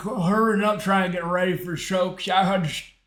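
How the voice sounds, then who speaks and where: Audible room echo surrounds a man with a high pitch. His intonation is fairly even. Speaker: online community host. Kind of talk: casual chat. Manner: halting.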